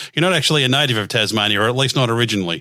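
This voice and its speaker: With an Australian accent, a man speaks at a very fast pace in a bright, sharp tone. His pitch is medium, with ordinary variation. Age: 50s. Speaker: radio host. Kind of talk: interview. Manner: hesitant with many fillers.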